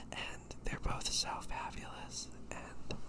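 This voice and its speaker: Noticeable background noise sits behind a man who is whispering. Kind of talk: ASMR rambling talk. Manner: whispered.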